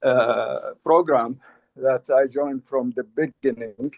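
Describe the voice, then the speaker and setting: Here a man is speaking. He goes at a very slow pace. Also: dry, close sound with no echo. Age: 60s. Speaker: community member. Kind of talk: video call testimony. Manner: halting.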